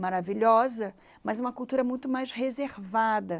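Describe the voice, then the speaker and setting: Lively intonation colors a woman's moderate-paced speech. The background is silent on this very clean recording. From Brazil. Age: 60s. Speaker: life coach. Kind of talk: interview conversation.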